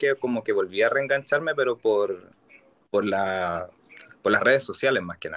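Here a man speaks in a Chilean accent at a medium pitch. The sound is dry and close, with no echo. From Santiago, Chile. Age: 30s. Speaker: Formula 1 fan. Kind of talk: casual chat.

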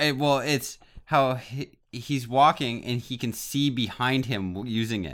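Recorded very cleanly against a silent background, a man with an unremarkable speaking voice talks at medium pitch and a fairly slow pace with ordinary pitch variation. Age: 30s. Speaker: podcast co-host. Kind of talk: casual chat.

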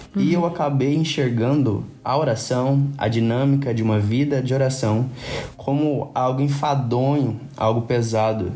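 Noticeable background noise and audible room echo surround a man speaking. His loudness is very even, and his intonation is fairly even. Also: medium pitch for a man, fairly slow pace. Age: 20s. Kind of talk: casual chat about faith.

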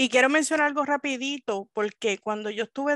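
The speaker has a plain, everyday voice. Delivery is fairly quick, and the pitch varies in an ordinary way. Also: woman. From Puerto Rico, Río Piedras. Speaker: librarian. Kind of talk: interview.

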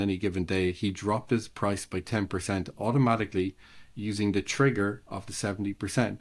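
On a very clean recording with a silent background, a man with an Irish accent talks at a fairly quick pace and a fairly low pitch. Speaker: ecommerce consultant. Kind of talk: casual interview.

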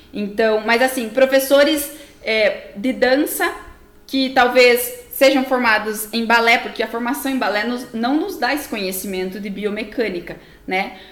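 Over noticeable background noise and audible room echo, a woman speaks fairly slowly in a high voice with ordinary pitch variation. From Brazil, interior of Paraná. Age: 20s. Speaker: physical educator, dance biomechanics specialist. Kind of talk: explanatory interview talk.

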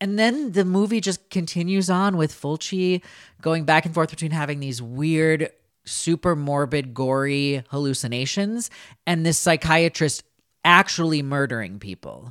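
A man with an American accent and an unremarkable speaking voice talks at a moderate pace in a fairly high pitch with ordinary pitch variation, recorded very cleanly over a silent background in a dry, close sound with no echo. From US Upper Midwest (Minnesota). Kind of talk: casual chat.

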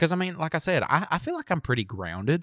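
Here a man talks in a Southern US accent with lively intonation. The sound is dry and close, with no echo. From US South. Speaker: podcast co-host. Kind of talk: casual chat.

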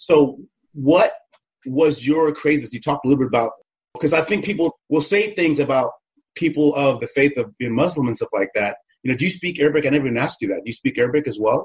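Speaking with an American accent, a man talks at a very fast pace in a somewhat breathy, fairly high voice with ordinary pitch variation. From United States. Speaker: podcast co-host. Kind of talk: casual chat interview. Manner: fast talker; animated.

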